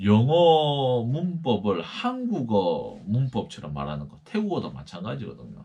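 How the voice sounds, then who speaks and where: A man's voice with very wide pitch swings. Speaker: missionary. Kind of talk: lecture.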